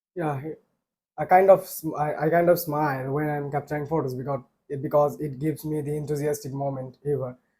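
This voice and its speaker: Fairly quick and monotone, a man speaks in a somewhat breathy, dark, mellow voice at a fairly high pitch, his intonation flat. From Bangladesh, Bogura. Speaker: IELTS candidate. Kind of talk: mock exam interview. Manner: halting, with fillers.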